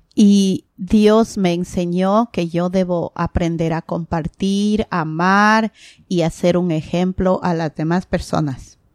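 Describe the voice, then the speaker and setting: With an Ecuadorian accent, a woman speaks at a medium pitch and with fairly even intonation in a very clean recording over a silent background. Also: fairly slow pace, dry, close sound with no echo. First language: Spanish. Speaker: guest. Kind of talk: casual interview chat. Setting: recorded at home. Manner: halting, nervous in English.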